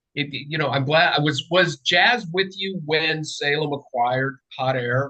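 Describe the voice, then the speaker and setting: Bright and sharp in tone, a man's voice sits at a fairly high pitch. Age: 60s. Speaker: political writer. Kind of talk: casual chat. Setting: video call. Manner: halting.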